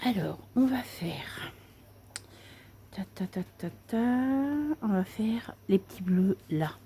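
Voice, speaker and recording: Soft-spoken and somewhat breathy, a woman talks at a very slow pace with long, frequent pauses, her medium pitch carrying a dark, mellow tone and ordinary pitch variation. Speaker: craft video creator. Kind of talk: tutorial.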